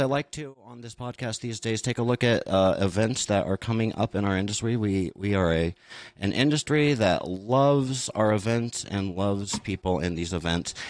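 With an ordinary speaking voice, a man talks at a medium pitch and moderate pace with lively intonation. He leaves hardly any pauses. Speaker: podcast host. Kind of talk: live-streamed panel discussion. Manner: casual, jokey.

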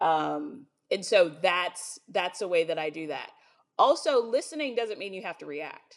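A woman's fairly low, lively voice at a fairly slow pace, an ordinary speaking voice, on a very clean recording with a silent background. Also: big swings in loudness. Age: 30s. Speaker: business executive and minister. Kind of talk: casual chat.

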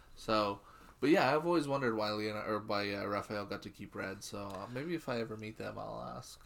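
Using an unremarkable speaking voice, a man talks fairly quickly in a fairly low pitch, with ordinary pitch variation and big swings in loudness. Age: 30s. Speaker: podcast co-host. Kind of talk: casual chat.

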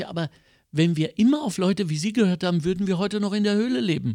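Animated in tone with ordinary pitch variation, the voice comes through on a very clean recording with a silent background. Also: man. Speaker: cabaret artist and podcast host. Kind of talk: casual chat.

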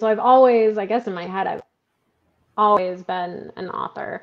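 A woman speaks in a normal speaking voice with an American accent. Her medium pitch has ordinary variation. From Michigan. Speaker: author and freelance writer. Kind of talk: casual interview chat.

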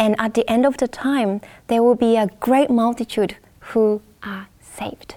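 A woman with a Japanese accent, fairly high in pitch, at a fairly slow pace. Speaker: Bible study panelist. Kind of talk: Bible study panel discussion. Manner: halting, with fillers.

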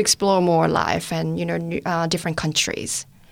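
A woman speaks with a Korean accent on a very clean recording with a silent background. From South Korea. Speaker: testimony giver, medical student. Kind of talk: testimony. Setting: studio.

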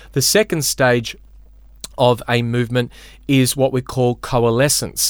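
Speaking at a moderate pace, a man with a medium pitch talks in an Australian accent. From Australia, Melbourne. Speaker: pastor. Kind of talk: teaching conversation.

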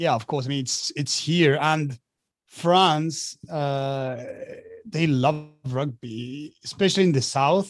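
A man with a Spanish accent talks with ordinary pitch variation. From Argentina. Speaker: professional rugby player. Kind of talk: interview.

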